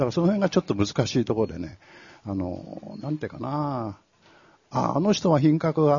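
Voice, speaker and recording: A man speaks at a moderate pace in a somewhat breathy voice. His pitch swings very widely. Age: 70s. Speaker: author. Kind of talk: live talk event interview. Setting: stage with audience.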